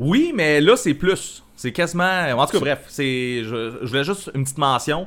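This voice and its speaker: A man with a Quebec accent at a fairly slow pace with hardly any pauses, on a very clean recording with a silent background. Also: fairly high pitch for a man, lively intonation. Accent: Québécois French. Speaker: podcast co-host. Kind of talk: casual chat. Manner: laughing, hesitant.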